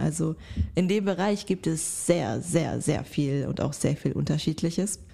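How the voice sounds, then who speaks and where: This woman's voice is fairly low-pitched and somewhat breathy. Her tone is dark and mellow. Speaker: podcast co-host. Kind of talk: casual chat.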